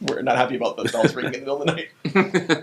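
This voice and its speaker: Very fast speech over noticeable background noise. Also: man. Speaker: pastor and author. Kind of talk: casual chat.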